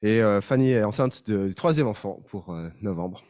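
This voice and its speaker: Speaking at a fairly quick pace, a man with a slight Swiss French accent uses lively intonation at a fairly low pitch. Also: very clean recording, silent background. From Switzerland. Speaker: pastor. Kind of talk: sermon. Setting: church. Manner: halting.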